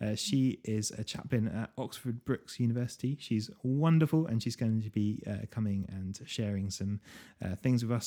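On a very clean recording with a silent background, a man with a British accent speaks at a medium pitch with a dark, mellow tone and ordinary pitch variation. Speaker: podcast host. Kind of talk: casual interview chat.

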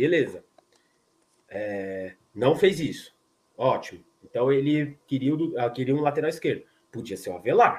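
At a fairly slow pace and with long, frequent pauses, a man speaks in a fairly high voice. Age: 30s. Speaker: football fan channel host. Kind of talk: casual post-match live chat. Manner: animated, repetitive.

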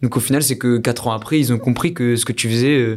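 This man has a plain, everyday voice, speaking at a fairly quick pace with fairly even intonation. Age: 20s. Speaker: entrepreneur and podcast co-host. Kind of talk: casual interview.

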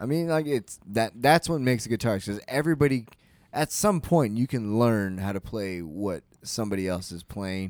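The recording is very clean with a silent background. A man with a plain, everyday voice speaks at a medium pitch and a moderate pace, using lively intonation. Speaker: podcast co-host. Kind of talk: casual banter. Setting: studio.

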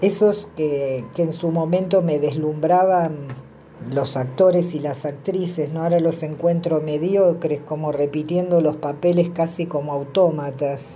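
A woman's very deep, low voice, fairly even in intonation and fairly slow, with audible room echo. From southern Greater Buenos Aires, Argentina. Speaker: film viewer contributor. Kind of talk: recorded voice message review.

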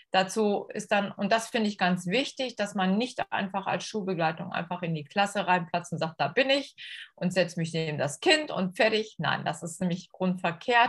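A somewhat breathy woman's voice at medium pitch, with ordinary pitch variation and a moderate pace, on a very clean recording with a silent background. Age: 50s. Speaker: school integration assistant. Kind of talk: podcast interview. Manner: hesitant with many fillers.

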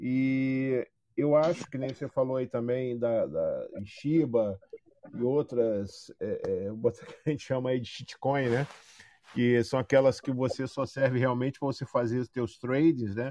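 A man's medium-pitched voice, dark and mellow in tone, with fairly even intonation, a fairly slow pace and a dry, close sound free of echo. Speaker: podcast co-host, crypto student. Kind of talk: casual chat.

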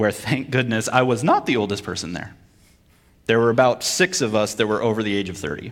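A man with an American accent, an unremarkable speaking voice, medium pitch, ordinary pitch variation and a fairly quick pace. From Vermont, US. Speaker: preacher and military chaplain. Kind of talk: sermon.

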